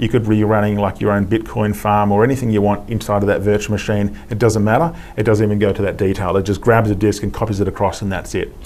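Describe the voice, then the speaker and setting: A man with an Australian accent speaks very fast in a fairly low, monotone voice with flat intonation and hardly any pauses. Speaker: IT specialist. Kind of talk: technical demo interview.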